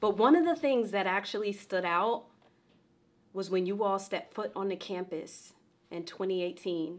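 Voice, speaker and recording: The pitch varies in an ordinary way. The pace is fairly slow. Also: woman. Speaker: university professor. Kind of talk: commencement speech. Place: home room.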